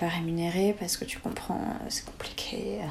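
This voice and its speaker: Spoken at a moderate pace with fairly even intonation, the voice sits over noticeable background noise. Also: woman. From southern France, near Montpellier. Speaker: former performing artist, nutrition student. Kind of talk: casual interview.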